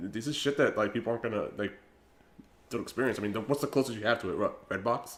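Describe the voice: Very fast speech with fairly even intonation. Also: man, medium pitch for a man.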